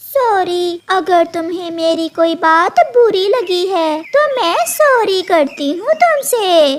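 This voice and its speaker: A woman's cartoonish character voice, extremely high in pitch, very slow and with hardly any pauses. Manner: sly, insinuating.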